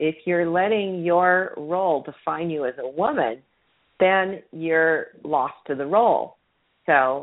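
A woman's normal speaking voice, fairly low in pitch, at a fairly slow pace with lively intonation. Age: 60s. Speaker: parenting radio show host. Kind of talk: call-in advice show.

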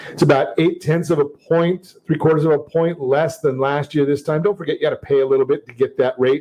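An unremarkable speaking voice with an American accent. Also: man. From Southern California. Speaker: radio host and mortgage lender. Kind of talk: talk radio show. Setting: studio. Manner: upbeat, salesy, repeats phone number.

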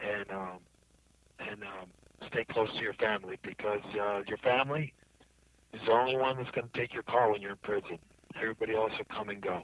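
At a moderate pace, a man speaks at a medium pitch in a dry, close sound with no echo. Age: 50s. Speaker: federal prisoner. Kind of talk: interview. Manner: halting.

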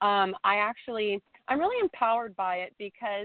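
A normal speaking voice moves along at a moderate pace. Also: woman. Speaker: fashion blogger. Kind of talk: interview.

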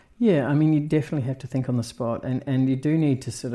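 A man with a New Zealand accent speaks at a very fast pace and medium pitch in a dark, mellow tone against a quiet background. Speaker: cinematographer. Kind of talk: interview. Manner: hesitant, many fillers.

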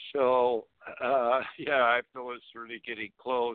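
A man talking at a very slow pace. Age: 50s. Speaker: cannabis activist and grower. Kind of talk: phone-in radio talk. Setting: phone call.

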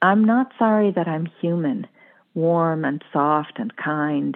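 An unremarkable speaking voice from a woman with an American accent, fairly low in pitch, with ordinary pitch variation and a fairly slow pace. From US New England. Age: 50s. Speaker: psychotherapist. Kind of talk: casual interview chat, with poem reading.

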